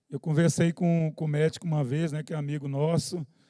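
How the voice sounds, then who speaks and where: Over a very clean recording with a silent background, a man with fairly high pitch and a dark, mellow tone speaks at a fairly quick pace with fairly even intonation. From Brazil, Goiás. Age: 40s. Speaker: church member giving testimony. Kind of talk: testimony. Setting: church youth service.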